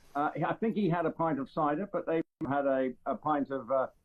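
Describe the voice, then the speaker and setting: A man's intonation rises and falls in a lively way. He speaks at a moderate speed. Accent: English. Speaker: royal commentator. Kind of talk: casual chat. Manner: halting, many fillers.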